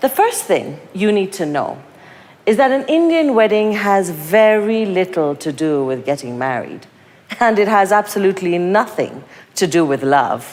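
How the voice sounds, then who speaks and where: A woman with medium pitch speaks at a moderate pace, her pitch swinging very widely. Noticeable background noise runs underneath. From Kenya. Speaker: writer and performer. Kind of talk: spoken-word performance. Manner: animated.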